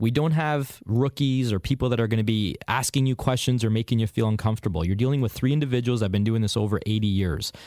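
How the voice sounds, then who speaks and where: Very fast with hardly any pauses, a man holds very even loudness at medium pitch, with a dark, mellow tone and ordinary pitch variation. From Hamilton, Ontario, Canada. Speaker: used car dealer. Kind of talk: radio call-in advice.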